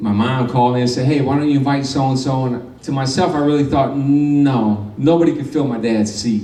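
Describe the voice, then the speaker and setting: Over noticeable background noise and audible room echo, a man with an American accent talks at a fairly quick pace. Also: medium pitch for a man. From Michigan. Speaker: former pro boxer. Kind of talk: award acceptance speech.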